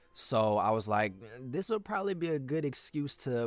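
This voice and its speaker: With an animated tone and very wide pitch swings, a man speaks at a fairly slow pace over noticeable background noise. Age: 20s. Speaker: aspiring voice actor, vlogger. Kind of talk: casual vlog. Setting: home closet booth.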